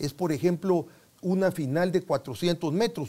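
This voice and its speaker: The speaker is a man with a high voice. He talks at a moderate pace. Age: 70s. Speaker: sports medicine doctor. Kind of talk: interview. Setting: studio. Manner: halting.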